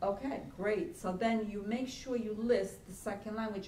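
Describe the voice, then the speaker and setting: In an Italian accent, a woman speaks fairly slowly at a fairly high pitch, with audible room echo around her. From Italy. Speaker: college career center director. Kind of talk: workshop lecture. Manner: halting.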